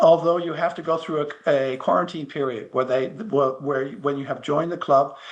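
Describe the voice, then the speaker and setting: Against noticeable background noise, a man with an American accent talks at a moderate pace with hardly any pauses, his fairly high pitch held in fairly even intonation. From United States. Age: 70s. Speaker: masters powerlifter. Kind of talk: interview. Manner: halting, repeats words.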